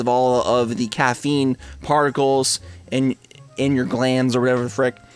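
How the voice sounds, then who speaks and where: There's noticeable background noise in this clip. Over it, a man talks at a moderate pace. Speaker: YouTuber and streamer. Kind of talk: casual vlog monologue. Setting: green screen home recording. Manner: casual, with repetitions and fillers.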